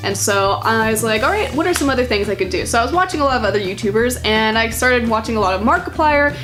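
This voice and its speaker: A woman's very fast, animated speech amid noticeable background noise and audible room echo. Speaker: gaming YouTuber. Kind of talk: let's play commentary with reading aloud. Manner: casual, animated.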